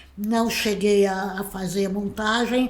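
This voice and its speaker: A woman at a very slow pace with fairly even intonation, amid noticeable background noise and audible room echo. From Brazil, Santos (São Paulo state). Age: 60s. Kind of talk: interview. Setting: her own home.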